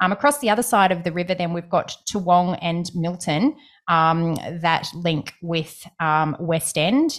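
On a very clean recording with a silent background, a woman with an Australian accent speaks at a fairly slow pace, her pitch fairly low with ordinary pitch variation. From Brisbane, Australia. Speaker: property podcast co-host. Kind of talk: casual chat.

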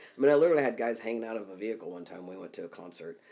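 A man with a Midwestern US accent. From Kansas. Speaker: executive coach and author. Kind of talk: casual interview conversation.

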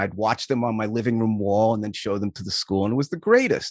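A man with an American accent speaks in an ordinary speaking voice at a fairly quick pace with fairly even intonation, recorded dry and close with no echo against a quiet background. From US Northeast (Long Island, New York). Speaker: youth sports coach and camp founder. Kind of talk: casual interview chat.

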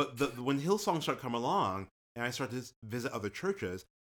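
A man with a normal speaking voice and an American accent, medium in pitch, with lively intonation and a fairly quick pace, on a very clean recording with a silent background. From New York area (Nyack). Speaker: podcast co-host and singer. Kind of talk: casual chat.

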